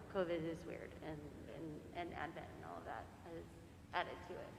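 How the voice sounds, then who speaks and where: Heard with audible room echo, a woman talks at a moderate pace and a fairly low pitch. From central Florida. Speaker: priest's wife. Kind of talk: casual remarks to congregation.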